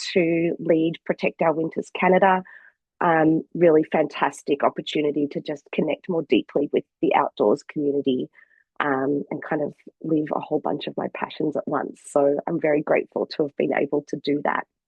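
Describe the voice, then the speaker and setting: In an Australian accent, a woman with a very deep, low pitch talks at a moderate pace with fairly even intonation. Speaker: sustainability communications consultant. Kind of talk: webinar presentation.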